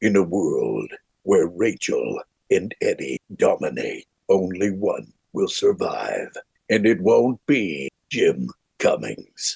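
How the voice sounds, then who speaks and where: Using a put-on character voice, a man delivers a dramatic tone at a very slow pace, with a dry, close sound and no echo. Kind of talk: theatrical. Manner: dramatic, epic, tongue-in-cheek.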